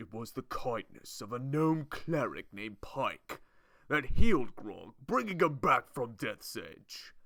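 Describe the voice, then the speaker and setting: A man uses a put-on character voice at a medium pitch, moving at a fairly slow pace. His pitch swings very widely and his loudness rises and falls a lot. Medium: solo performance. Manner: blunt, slow, simple.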